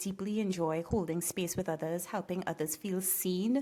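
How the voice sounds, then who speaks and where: With a Trinidadian accent, a woman speaks at medium pitch in a dark, mellow tone. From Trinidad and Tobago. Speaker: coach and former prosecutor with a doctorate. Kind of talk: podcast interview.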